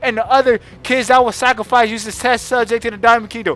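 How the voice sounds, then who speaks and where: Loud and animated in tone, a man talks. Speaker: anime reviewer youtuber. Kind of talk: casual rant.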